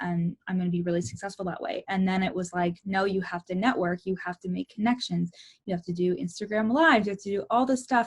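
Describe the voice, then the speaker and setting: Somewhat breathy, a woman talks at a fairly quick pace and a medium pitch. The sound is dry and close with no echo. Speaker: life and success coach. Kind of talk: casual talk to camera, personal vlog. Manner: candid, personal, enthusiastic.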